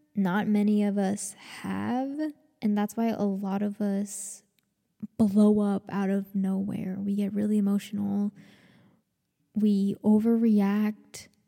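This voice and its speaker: A woman with an American accent, very slow and monotone, flat in intonation, with long, frequent pauses. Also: medium pitch for a woman. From US South, Georgia. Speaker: podcaster. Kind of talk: casual solo vlog-style monologue. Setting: walking around recording with mic and laptop. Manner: rambling, casual, self-deprecating; halting, stuttering.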